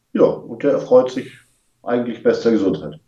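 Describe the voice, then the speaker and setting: A man with a dark, mellow tone speaks at a moderate pace with lively intonation. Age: 50s. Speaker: rally participant, engineer. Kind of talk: casual interview.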